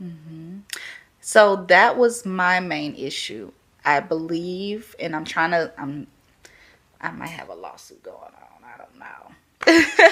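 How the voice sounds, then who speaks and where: Very slowly, a woman speaks with a Louisiana accent at a fairly low pitch. Her intonation is lively and her loudness swings widely. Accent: Southern US, Louisiana. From Louisiana, Baton Rouge. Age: 20s. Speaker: podcast guest, first-time mother. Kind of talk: casual interview chat.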